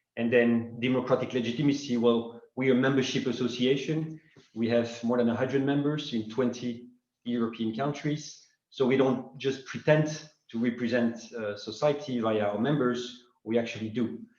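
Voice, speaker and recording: A man speaks with fairly even intonation, and audible room echo can be heard. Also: medium pitch for a man, moderate pace. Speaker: secretary general of a finance advocacy association. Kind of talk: welcome address at web conference. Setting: online web conference.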